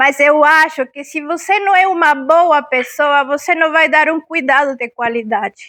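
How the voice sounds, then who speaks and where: Speaking at a fairly slow pace, a woman has an extremely high pitch, a bright, sharp tone and ordinary pitch variation. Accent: Spanish. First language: Spanish (speaking Portuguese). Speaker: talk speaker on palliative care. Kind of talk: public talk. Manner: interactive, questions to audience.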